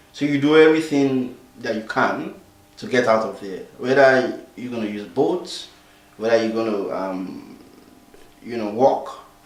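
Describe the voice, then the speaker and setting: A man speaks at medium pitch and a fairly slow pace, with ordinary pitch variation and long, frequent pauses. Noticeable background noise and audible room echo are present. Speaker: refugee volunteer interviewee. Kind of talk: interview testimony. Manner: hesitant, many fillers.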